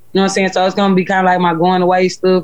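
The voice carries a Houston accent. Its intonation is monotone and flat. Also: woman. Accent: Southern US, Houston. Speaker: rapper. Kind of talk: casual interview chat.

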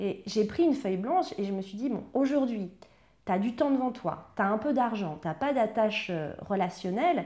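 A woman's fairly high, somewhat breathy voice with a dark, mellow tone, lively intonation and a moderate pace. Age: 30s. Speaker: emotional eating coach. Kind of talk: interview testimony.

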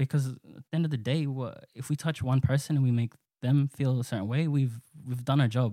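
Speaking at a fairly quick pace with an Australian accent, a man has a medium-pitched, dark, mellow voice with fairly even intonation and a dry, close sound with no echo. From Australia, western Sydney. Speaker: rap musician. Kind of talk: casual interview chat.

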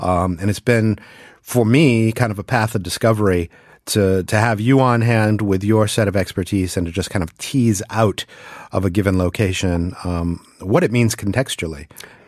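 In a plain, everyday voice, a man with an American accent speaks at a fairly low pitch and a moderate pace. His pitch variation is ordinary, and the background is quiet. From US East Coast. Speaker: podcast host. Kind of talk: casual chat. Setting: studio.

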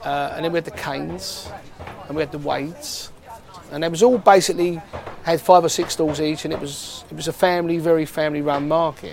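A man with a Cockney accent at a fairly quick pace, big swings in loudness, and noticeable background noise. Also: fairly high pitch for a man, ordinary pitch variation. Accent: London (Cockney). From East London, Hackney. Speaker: market trader. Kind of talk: interview.

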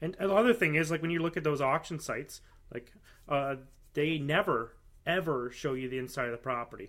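A man's fairly high-pitched, normal speaking voice with lively intonation at a fairly quick pace. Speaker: podcast host. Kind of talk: casual interview.

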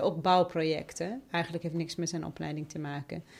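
Here a woman speaks at a fairly low pitch with fairly even intonation. The recording is very clean with a silent background. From Iraq (Basra and Baghdad). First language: Arabic (speaking Dutch). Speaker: member of parliament. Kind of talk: interview.

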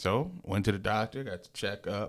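In a very clean recording with a silent background, a man with an American accent speaks in a fairly low voice with lively intonation. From Lansing area, Michigan. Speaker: DJ and business owner. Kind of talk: casual chat. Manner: animated.

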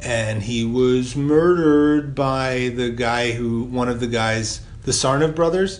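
Over noticeable background noise, a man with a medium-pitched voice and an American accent speaks at a very slow pace. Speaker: podcast co-host. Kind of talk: casual chat. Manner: casual, colloquial, profane.

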